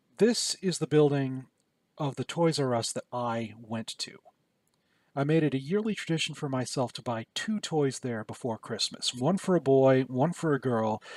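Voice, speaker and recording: With a Michigan accent, a man speaks at medium pitch and a moderate pace, with lively intonation and a dry, close sound with no echo. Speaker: YouTuber. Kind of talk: casual vlog commentary.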